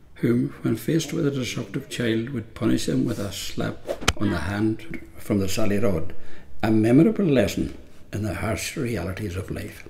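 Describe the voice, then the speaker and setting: A man's fairly low-pitched voice with audible room echo and noticeable background noise. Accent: Donegal. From Ireland, Donegal. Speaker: narrator. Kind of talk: scripted narration.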